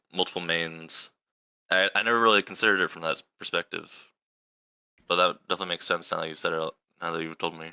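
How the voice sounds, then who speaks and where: A man's very deep, low voice, bright and sharp in tone, at a very fast pace with fairly even intonation and big swings in loudness, in a dry, close sound with no echo. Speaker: fighting game podcast co-host. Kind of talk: casual chat. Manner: stumbling over words.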